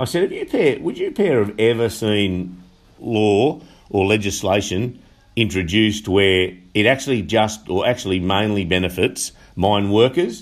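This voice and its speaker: Using a moderate pace and ordinary pitch variation, a man with a strong Australian accent speaks at a fairly low pitch. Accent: broad Australian. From Upper Hunter, New South Wales, Australia. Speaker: union official and election candidate. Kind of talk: interview. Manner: halting, many fillers.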